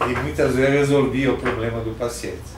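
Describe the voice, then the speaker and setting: Noticeable background noise and audible room echo surround a man speaking at a moderate pace, his medium-pitched voice keeping fairly even intonation. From southern Brazil, Rio Grande do Sul (Passo Fundo). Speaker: retired physician. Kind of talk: oral history interview.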